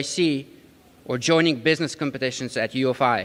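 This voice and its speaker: Here a man speaks with a slight Ukrainian accent. His pitch is fairly high and his pace fairly quick. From Ukraine. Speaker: community college graduate, commencement speaker. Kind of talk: commencement speech. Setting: stage at graduation ceremony with audience. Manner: rousing, animated.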